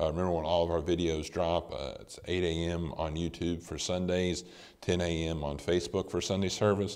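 A man's very deep, low voice at a moderate pace, flat and monotone in intonation. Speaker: church announcer. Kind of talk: announcements. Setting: online service recorded at a house. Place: church.

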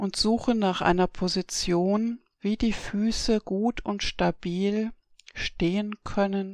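A woman's very slow, monotone, flat delivery on a very clean recording with a silent background. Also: medium pitch for a woman, dry, close sound with no echo. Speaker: eutony teacher and therapist. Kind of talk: guided relaxation exercise. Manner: slow, calm.

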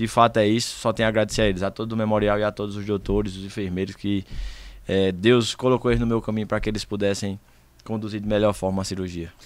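The sound is dry with no echo as a man talks very fast in a fairly low pitch with monotone, flat intonation. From Brazilian Northeast (Pernambuco). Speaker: rodeo cowboy (vaquejada champion); podcast guest. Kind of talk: casual chat. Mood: grateful, sincere. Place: studio. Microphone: studio mic.

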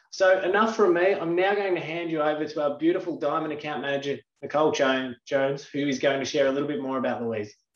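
A man's fairly high voice at a very fast pace with hardly any pauses and ordinary pitch variation, with audible room echo and a quiet background. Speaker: company manager. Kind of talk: event introduction. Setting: online live session. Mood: warm, welcoming. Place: home room. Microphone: webcam.

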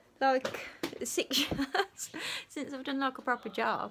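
Over noticeable background noise, a woman speaks very slowly in a raised, projected voice. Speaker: family vlogger. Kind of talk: casual vlog chat. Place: home room. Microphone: phone near.

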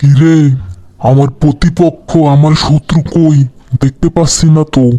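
A loud, cartoonish character voice from a man, fairly high in pitch, at a fairly slow pace. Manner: loud, hot-tempered.

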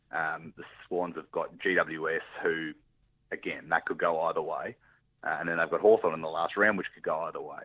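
A man with an Australian accent speaks with big swings in loudness. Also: moderate pace. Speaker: football blogger and podcast co-host. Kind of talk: casual chat.

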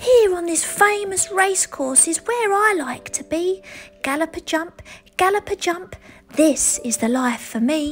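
Someone uses a put-on character voice, raised and projected, at a moderate pace. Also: woman, extremely high pitch for a woman. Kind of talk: bedtime story. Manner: goofy, contented.

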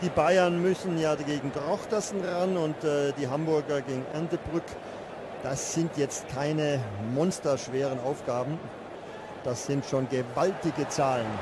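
A man talks at a fairly slow pace. Background noise is noticeable throughout. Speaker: football commentator. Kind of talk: live football commentary, German, describing chances and goals as they happen.

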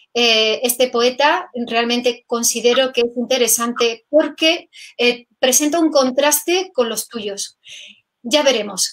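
Against a quiet background, a woman speaks very slowly in a high pitch with ordinary variation in her intonation. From Catalonia, Spain. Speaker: poetry video host; interview host. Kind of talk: casual interview chat. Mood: warm, appreciative. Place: home room.

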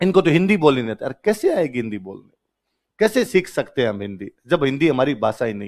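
Over a quiet background, a man speaks at a moderate pace with a fairly high pitch. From Rajasthan, India. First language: Rajasthani (speaking Hindi). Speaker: teacher. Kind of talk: lecture. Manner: animated. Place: classroom. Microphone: headset.

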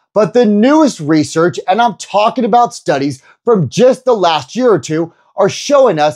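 A man's pitch swings very widely as he speaks over a quiet background. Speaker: personal trainer. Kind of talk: energetic youtube explainer. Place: home room. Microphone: lapel.

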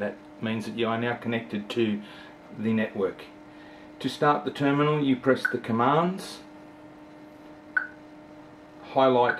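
A man talks fairly slowly, his pitch varying in an ordinary way, with light noise in the background. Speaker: instructor. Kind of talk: tutorial. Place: office. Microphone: phone near.

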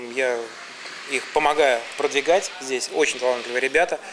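A man at a fairly quick pace, fairly high-pitched with fairly even intonation, over noticeable background noise. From Samara, Volga region, Russia; Russia. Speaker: music and media producer; talk show guest. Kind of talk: casual talk show interview. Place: studio.

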